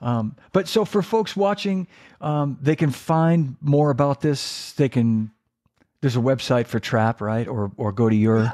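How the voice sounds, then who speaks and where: On a very clean recording with a silent background, a man speaks at a fairly slow pace in a medium pitch, with lively intonation and a dark, mellow tone. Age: 60s. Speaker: drum podcast host. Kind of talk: casual chat. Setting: live stream.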